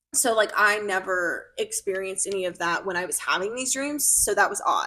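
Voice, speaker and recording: Her speech moves along at a fairly quick clip. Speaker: podcast co-host. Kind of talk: casual chat. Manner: loud, expressive.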